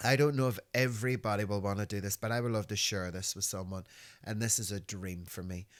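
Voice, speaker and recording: At a very fast pace, a man speaks in an animated tone with a Northern Irish accent. His pitch sits fairly low. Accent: Northern Irish (Belfast). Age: 50s. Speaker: podcast host. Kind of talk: casual chat.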